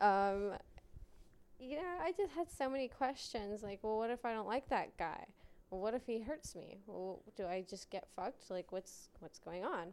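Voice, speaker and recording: This is a plain, everyday voice with an American accent. It moves at a moderate pace. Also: woman, fairly high pitch for a woman. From US West, Las Vegas, Nevada. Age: 20s. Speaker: adult film performer. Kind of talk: casual chat.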